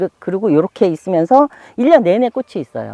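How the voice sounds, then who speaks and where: A woman speaks at a very fast pace in an animated tone, her medium pitch making very wide swings. The sound is dry and close, with no echo. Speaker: rural homeowner and gardener. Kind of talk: casual interview talk, garden tour.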